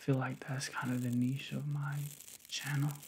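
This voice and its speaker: Soft-spoken whispering comes through, somewhat breathy. There is light background noise. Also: man. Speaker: ASMR artist. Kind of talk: ASMR personal attention. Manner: soft whispering; casual, playful. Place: home room.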